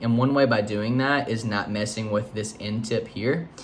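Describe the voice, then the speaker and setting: With audible room echo around him, a man speaks at a medium pitch with fairly even intonation. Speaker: photo editing youtuber. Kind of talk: tutorial. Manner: casual, hesitant with fillers.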